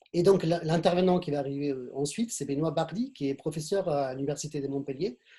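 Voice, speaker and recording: This man speaks with a slight Argentine accent. His pitch is fairly high, with a dark, mellow tone. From Argentina. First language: Spanish (speaking French). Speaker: webinar moderator. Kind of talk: speaker introductions in a webinar. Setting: online video conference. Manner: halting, many repetitions.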